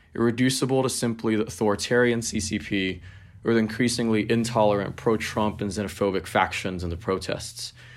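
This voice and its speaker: A man with a plain, everyday voice speaks in an American accent. His pitch is fairly low, his intonation fairly even, and his pace fairly quick. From Hong Kong and Los Angeles. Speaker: activist and writer. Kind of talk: prepared talk then discussion.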